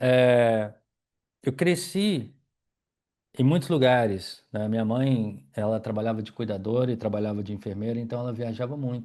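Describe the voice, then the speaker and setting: A man with a Minas Gerais accent speaks at a moderate pace in a dark, mellow tone. His pitch is medium with ordinary variation, and the background is quiet. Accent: Minas Gerais (mineiro) Brazilian Portuguese. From Brazil, Minas Gerais. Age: 40s. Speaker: yoga teacher and wheelchair user telling his life story. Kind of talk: personal life story monologue. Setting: at home in living room.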